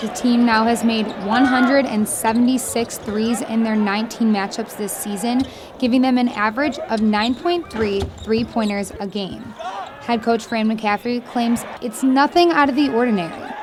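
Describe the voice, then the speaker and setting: With noticeable background noise, a woman talks at a moderate pace in a fairly high voice with ordinary pitch variation. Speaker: sports reporter. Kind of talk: sports news report.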